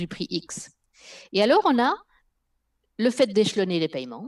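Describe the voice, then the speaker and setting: A woman talks at a moderate pace with very wide swings in pitch. The background is quiet. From Spain. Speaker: linguist and former corporate EU affairs professional; guest or co-host. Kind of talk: live video interview. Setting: video call. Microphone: headset.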